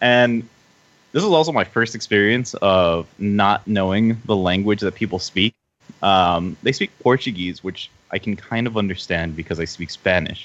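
A man's normal speaking voice with an American accent, fairly low in pitch, ordinary pitch variation, a moderate pace and a quiet background. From US. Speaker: podcast guest. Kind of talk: casual chat.

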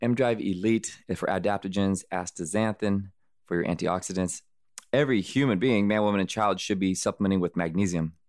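Spoken at a fairly quick pace with an American accent, the voice holds a very even loudness on a very clean recording with a silent background. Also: man, fairly low pitch for a man. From US Southwest (Arizona, California). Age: 40s. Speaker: ultramarathon runner. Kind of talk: interview. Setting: studio. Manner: animated.

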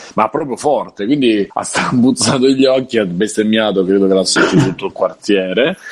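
Over noticeable background noise, a man talks at a moderate pace in a medium pitch with hardly any pauses. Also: ordinary pitch variation. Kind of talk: casual chat.

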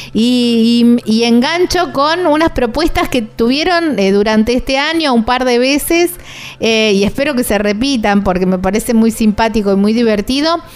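Against noticeable background noise, a woman with a high pitch talks with lively intonation at very even loudness. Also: moderate pace. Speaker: radio travel show host. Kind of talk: casual chat. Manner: animated.

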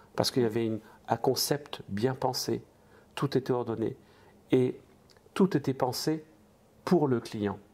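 At a fairly slow pace broken by long, frequent pauses, a man speaks in a dark, mellow tone at a medium pitch with ordinary pitch variation. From eastern France. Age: 60s. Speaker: restaurant franchise entrepreneur. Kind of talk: interview.

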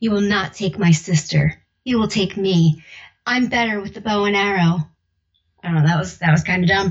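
Taking long, frequent pauses, a woman with an American accent speaks at a moderate pace in a somewhat breathy voice, her medium pitch showing ordinary variation. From South Jersey, near Philadelphia. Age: 30s. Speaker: audiobook narrator. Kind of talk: casual interview. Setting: remote call at home.

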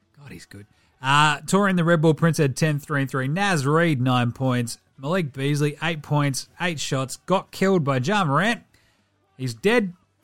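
Captured in a very clean recording with a silent background, a man with an Australian accent speaks at a fairly slow pace and a fairly high pitch, with ordinary pitch variation and big swings in loudness. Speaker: basketball podcast host. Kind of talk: sports commentary, game recap. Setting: studio. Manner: animated.

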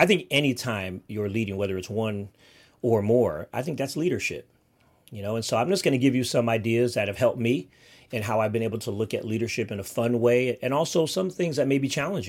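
A medium-pitched man with lively intonation at a fairly quick pace, on a very clean recording with a silent background. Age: 50s. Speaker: podcast host; runs an agency. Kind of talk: motivational solo talk. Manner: casual, laughing often.

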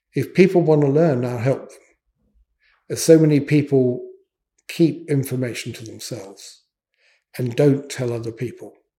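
Using a dark, mellow tone, a man speaks somewhat breathily at a moderate pace, with ordinary pitch variation, big swings in loudness and long, frequent pauses. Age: 70s. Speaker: electronics engineer. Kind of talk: interview. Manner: hesitant, many fillers.

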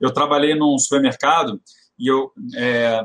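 A man uses a normal speaking voice, fairly high in pitch with ordinary variation. The sound is dry and close, with no echo. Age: 40s. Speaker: retail consultant. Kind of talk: casual chat.

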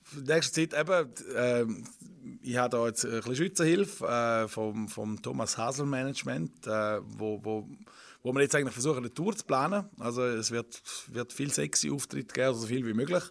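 On a very clean recording with a silent background, a man with a normal speaking voice and medium pitch talks at a moderate pace with lively intonation. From eastern Switzerland, Rhine Valley. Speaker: comedian and singer. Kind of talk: casual interview. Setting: radio studio.

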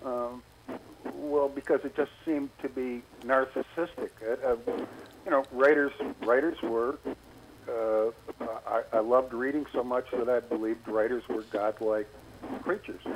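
With noticeable background noise, a man of medium pitch talks at a moderate pace using fairly even intonation and long, frequent pauses. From US Midwest, Wisconsin. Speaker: travel writer and magazine editor. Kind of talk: interview.

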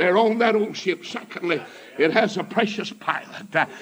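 A man speaks with a high pitch. There is noticeable background noise behind him. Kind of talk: sermon. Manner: animated, rousing pulpit delivery with call-and-response exclamations; loud, fervent, storytelling, punctuated with praise shouts.

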